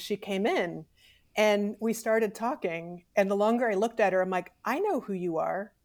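A woman with an American accent speaks at a moderate pace in a normal speaking voice of medium pitch. The recording is very clean, with a silent background. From Missouri. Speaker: textile artist. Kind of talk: interview.

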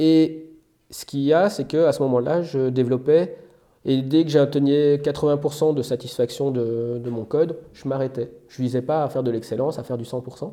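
Here a man speaks with a dark, mellow tone. His pitch is fairly high and his intonation fairly even. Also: moderate pace. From Belgium. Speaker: software developer. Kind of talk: interview. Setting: outdoors.

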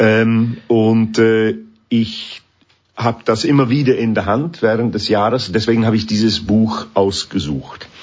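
The speaker has an English accent and talks at a fairly slow pace. Pitch variation is ordinary. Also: man, medium pitch for a man. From northern England. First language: English (speaking German). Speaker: orchestra conductor. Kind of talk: interview. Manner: halting.

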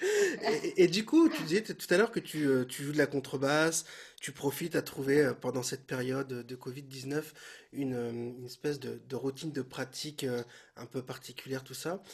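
Somewhat breathy, a man with a fairly high pitch talks at a moderate pace, his ordinary pitch variation paired with big swings in loudness. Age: younger than guest. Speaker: podcast host and bass teacher. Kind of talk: casual interview. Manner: hesitant, repeats words.

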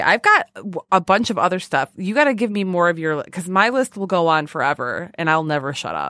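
On a very clean recording with a silent background and a dry, close sound with no echo, a woman with an ordinary speaking voice and a fairly low pitch talks at a moderate pace with lively intonation. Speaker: podcast host. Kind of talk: casual chat.

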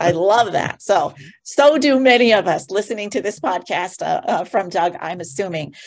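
A woman's normal speaking voice, medium in pitch, with lively intonation at a moderate pace. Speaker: entrepreneur and joy speaker. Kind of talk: guided meditation.

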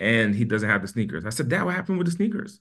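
This man's voice sits at a medium pitch. His tone is animated. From US East Coast. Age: 20s. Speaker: entrepreneur. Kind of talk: interview.

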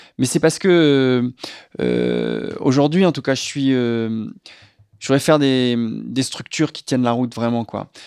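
A man with a normal speaking voice, medium pitch and ordinary pitch variation talks at a fairly slow pace on a very clean recording with a silent background. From western France, La Rochelle. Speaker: screenwriter and film director. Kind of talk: casual interview.

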